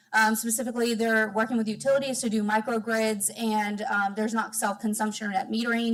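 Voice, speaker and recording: Over noticeable background noise, a woman talks at a very fast pace, her fairly high pitch held in monotone, flat intonation. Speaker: solar advocacy program director. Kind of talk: public comment. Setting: public meeting.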